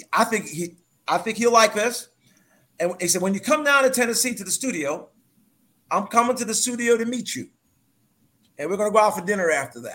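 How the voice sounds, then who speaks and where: A man's high-pitched, raised and projected voice with an American accent, bright, sharp tone, ordinary pitch variation, big swings in loudness, a fairly quick pace and long, frequent pauses. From New York. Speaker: author and businessman. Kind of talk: interview.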